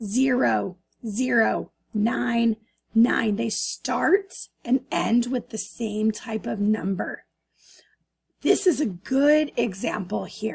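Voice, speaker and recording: Speaking at a very slow pace, the woman leaves long, frequent pauses. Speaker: math teacher. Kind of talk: lecture. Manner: loud.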